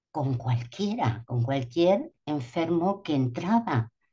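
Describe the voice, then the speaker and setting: A woman's very deep, low, somewhat breathy voice, dark and mellow in tone, very slow and with very wide pitch swings. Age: 70s. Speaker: doula and speaker at a symposium. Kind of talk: conference talk. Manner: hesitant, with fillers.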